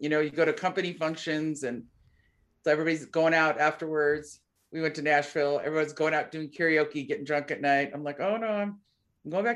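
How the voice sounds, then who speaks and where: The background is quiet as a woman speaks at a fairly quick pace. Her pitch is very deep and low, with ordinary variation. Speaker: podcast co-host. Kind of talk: casual chat. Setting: video call. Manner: loud.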